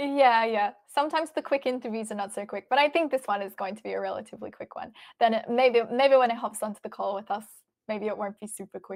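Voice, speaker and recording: Fairly high-pitched, a woman with an Australian accent talks very fast with ordinary pitch variation on a very clean recording with a silent background. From Australia, Melbourne. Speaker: chess stream commentator. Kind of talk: live stream chat, reading viewer questions.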